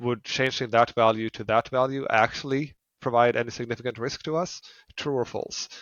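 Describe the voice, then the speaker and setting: At a fairly quick pace, a man speaks at a medium pitch with fairly even intonation. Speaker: fintech founder. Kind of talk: podcast interview. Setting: remote call.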